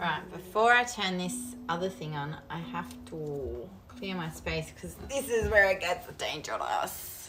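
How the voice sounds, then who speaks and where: A woman speaks very slowly in a strong Australian accent. Noticeable background noise and audible room echo fill the recording. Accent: strong Australian twang. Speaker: crafting streamer. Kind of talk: casual live-stream chat while crafting. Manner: animated.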